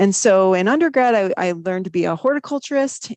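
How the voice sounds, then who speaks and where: In a dry, close sound with no echo over a quiet background, the speaker uses a slight Wisconsin accent, a fairly quick pace and lively intonation. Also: woman. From US Midwest, Wisconsin. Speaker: viticulture professor. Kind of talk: podcast interview.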